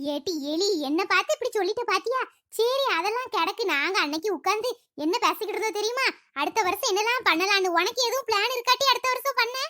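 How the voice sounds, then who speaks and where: A woman talks at a fairly quick pace in a cartoonish character voice, pitched extremely high, with lively intonation. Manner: chatty, teasing.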